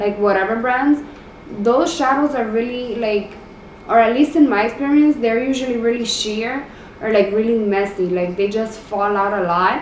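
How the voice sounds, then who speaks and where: A woman at a moderate pace, with audible room echo and noticeable background noise. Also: fairly high pitch for a woman, ordinary pitch variation. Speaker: beauty youtuber. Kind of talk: makeup tutorial. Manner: casual, filler-heavy; halting.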